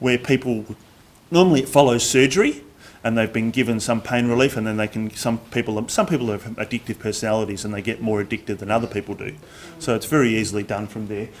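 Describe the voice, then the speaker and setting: Very fast speech in an Australian accent. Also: man, medium pitch for a man, ordinary pitch variation. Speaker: drug and alcohol awareness trainer. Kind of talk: presentation. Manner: loud.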